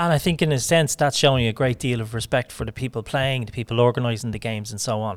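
With a Dublin accent, a man at medium pitch talks at a very fast pace with hardly any pauses and ordinary pitch variation, on a very clean recording with a silent background. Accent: Irish (Dublin). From Ireland, Dublin. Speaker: podcast host. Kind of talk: casual interview. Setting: in person at a rugby club.

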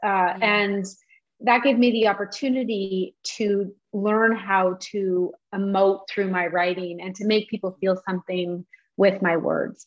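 In a normal speaking voice, a woman talks at a fairly slow pace and medium pitch with fairly even intonation. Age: 40s. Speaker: novelist and journalist. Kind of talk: interview conversation.

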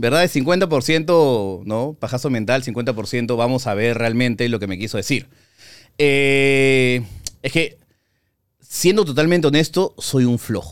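A man with lively intonation and a medium pitch speaks at a very slow pace in a very clean recording with a silent background. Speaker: film critic and YouTuber. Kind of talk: casual interview.

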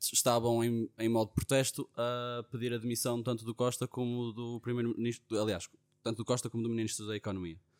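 With a European Portuguese accent, a man talks at a very fast pace in a dry, close sound with no echo. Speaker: podcast co-host. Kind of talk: casual chat.

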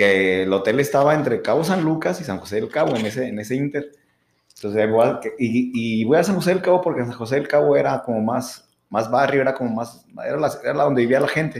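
This is a man talking at a fairly quick pace in a medium pitch, a normal speaking voice. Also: lively intonation. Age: 30s. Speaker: podcast co-host. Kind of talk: casual chat. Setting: studio.

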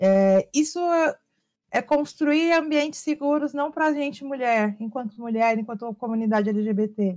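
In a very clean recording with a silent background, a woman speaks fairly slowly, her high voice full of lively intonation. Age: 30s. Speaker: streamer and content creator hosting a talk show. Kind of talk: casual chat.

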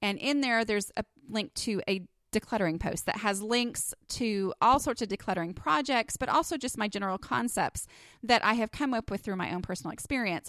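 In a slight Texas accent, a woman with a fairly high pitch talks at a fairly quick pace, in a very clean recording with a silent background and a dry, close sound with no echo. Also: ordinary pitch variation. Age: 30s. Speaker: podcast host and blogger. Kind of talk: solo podcast monologue. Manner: casual, with many filler words.

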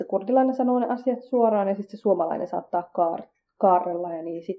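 A woman with an ordinary speaking voice talks at a fairly quick pace, with a medium pitch and ordinary pitch variation. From Finland, Kurdish family. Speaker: podcast host. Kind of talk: scripted podcast monologue.

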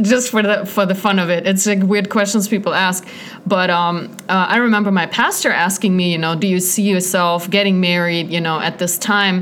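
Flat, monotone intonation runs at a moderate pace with hardly any pauses and very even loudness. Room echo is audible, and background noise is noticeable. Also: woman, medium pitch for a woman. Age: 30s. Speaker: evangelist. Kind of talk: casual chat.

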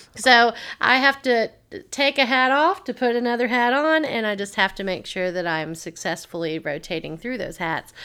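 A bright, sharp tone with a Tennessee accent and very wide pitch swings, on a very clean recording with a silent background. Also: woman, fairly high pitch for a woman, moderate pace. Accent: Southern US (Tennessee). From US South, Tennessee (Waverly). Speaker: entrepreneur and business teacher. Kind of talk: casual interview.

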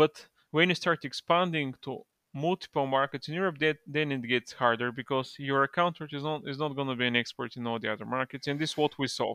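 A man with a Bulgarian accent at a fairly high pitch, with ordinary pitch variation and a fairly quick pace, in dry, close sound with no echo against a quiet background. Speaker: e-commerce partnerships manager. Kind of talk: casual interview.

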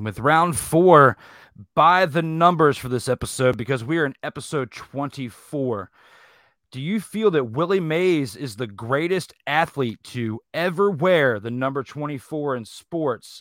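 A man with an unremarkable speaking voice, fairly high in pitch, talks at a fairly slow pace with lively intonation. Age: 30s. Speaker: sports debate show host. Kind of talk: live sports debate show. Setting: live online stream.

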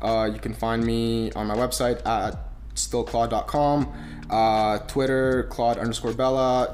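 With audible room echo in the space, a man delivers his words fairly slowly. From Romania, small town; moved to Canada. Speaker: media entrepreneur. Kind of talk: casual interview chat. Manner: hesitant, many fillers.

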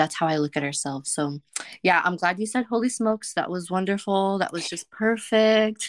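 A woman with a medium pitch speaks at a moderate pace, her pitch varying in an ordinary way, in an unremarkable speaking voice. The recording is very clean with a silent background and a dry, close sound with no echo. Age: 30s. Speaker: podcast host. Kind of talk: casual interview chat.

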